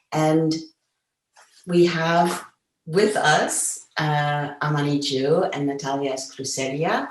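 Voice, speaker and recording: With audible room echo, a woman speaks at a very slow pace and a very deep, low pitch, with fairly even intonation and long, frequent pauses. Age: 70s. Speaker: feminist activist, moderator. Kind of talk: panel discussion. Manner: hesitant fillers.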